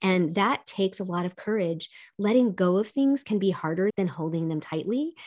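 A woman's ordinary speaking voice, medium in pitch, at a moderate pace with lively intonation. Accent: American. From US South, childhood partly in South Korea. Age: 50s. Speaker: life coach and speaker. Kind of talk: interview.

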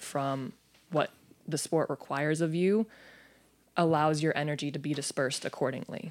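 In a very clean recording with a silent background, a woman with an American accent speaks at a moderate pace in a very deep, low voice with ordinary pitch variation. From US Southwest, Phoenix, Arizona. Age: 20s. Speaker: professional basketball player. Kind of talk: casual interview chat.

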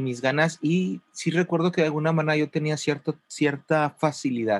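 A man speaks in an ordinary speaking voice at a fairly high pitch, with ordinary pitch variation. His pace is moderate, and the sound is dry and close with no echo. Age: 40s. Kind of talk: casual interview chat.

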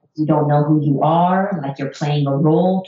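An ordinary speaking voice from a woman with an American accent, fairly low in pitch, at a moderate pace with ordinary pitch variation. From United States. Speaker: psychologist. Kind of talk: interview.

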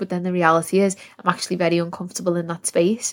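A woman talks at a fairly low pitch with monotone, flat intonation. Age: 20s. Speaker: self-love coach and podcast host. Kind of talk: solo monologue podcast. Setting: in her room.

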